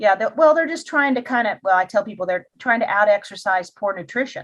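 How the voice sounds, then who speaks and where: A woman with a fairly high pitch talks at a fairly quick pace with lively intonation, in an ordinary speaking voice. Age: 60s. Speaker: wellness coach and podcast host. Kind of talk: interview podcast.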